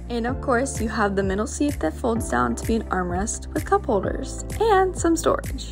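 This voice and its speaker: Clear background music beneath a woman speaking at a moderate pace. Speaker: car dealership salesperson. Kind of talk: product walkaround tour. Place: car. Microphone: phone near.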